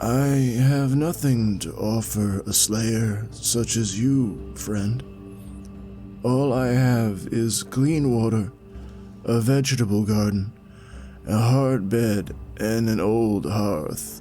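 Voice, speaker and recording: Over clear background music, a man in a put-on character voice speaks very slowly and croakily at a medium pitch with ordinary pitch variation. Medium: read story. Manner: slow, careful.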